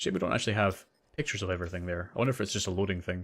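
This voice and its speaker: In a Scottish accent, a man with a fairly low pitch and ordinary pitch variation talks at a very fast pace on a very clean recording with a silent background. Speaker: gaming streamer. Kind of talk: live gameplay commentary. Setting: livestream.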